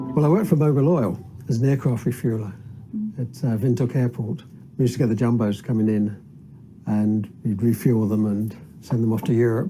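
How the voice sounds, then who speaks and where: Somewhat breathy and dark, mellow in tone, a man speaks at medium pitch and a fairly quick pace with ordinary pitch variation, leaving long, frequent pauses. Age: 70s. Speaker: citizens' assembly member, retired aircraft refueller. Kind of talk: documentary interview.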